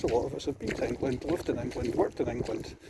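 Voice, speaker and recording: Over noticeable background noise, a man with a Scottish accent speaks quietly at a very fast pace. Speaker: vlogger. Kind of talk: video diary monologue while walking. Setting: outdoors on a beach walk. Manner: quietly spoken.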